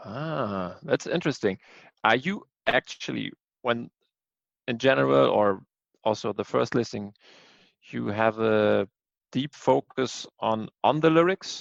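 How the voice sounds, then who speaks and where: Long, frequent pauses break up a man's fairly slow speech, his pitch swinging very widely in a dry, close sound with no echo. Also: medium pitch for a man. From Germany. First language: German. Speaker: music podcast co-host. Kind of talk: casual chat.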